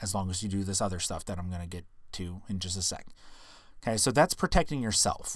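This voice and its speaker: Talking at a very fast pace, a man with a fairly low pitch and ordinary pitch variation comes through on a very clean recording with a silent background. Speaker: podcast host. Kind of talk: casual educational podcast monologue.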